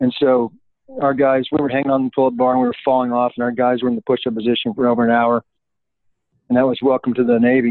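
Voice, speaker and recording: A man speaks very fast in a monotone, flat voice. His loudness stays very even. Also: medium pitch for a man. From US, Colorado. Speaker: retired military officer and speaker. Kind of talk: interview.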